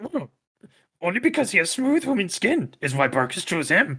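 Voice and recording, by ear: A man puts on a character voice pitched high for him. His pitch swings very widely at a moderate pace.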